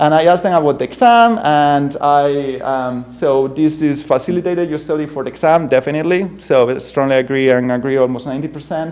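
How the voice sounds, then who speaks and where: A man with a strong Spanish accent, a fairly high pitch and ordinary pitch variation, at a fairly quick pace amid noticeable background noise. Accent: thick Spanish. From Spain. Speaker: university professor. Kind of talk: conference keynote talk. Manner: halting, many fillers.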